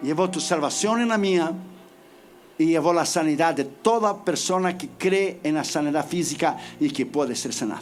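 A man at a high pitch and moderate pace, with ordinary pitch variation and audible room echo. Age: 50s. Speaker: preacher. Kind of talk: sermon. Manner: emphatic.

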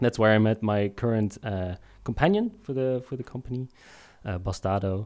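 Here a man speaks in a normal speaking voice at a moderate pace. His pitch is fairly low with ordinary variation, on a very clean recording with a silent background. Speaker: game studio founder. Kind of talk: casual interview chat.

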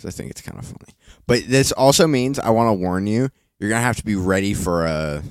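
The speech runs at a very fast pace, with big swings in loudness. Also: man, fairly low pitch for a man. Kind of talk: casual chat. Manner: joking.

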